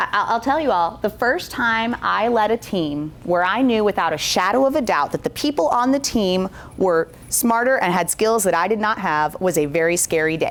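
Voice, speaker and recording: Over noticeable background noise, a woman speaks at a medium pitch and a moderate pace. Her tone is animated, her intonation lively, and her loudness very even. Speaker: corporate workshop presenter. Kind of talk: interactive breakout session talk.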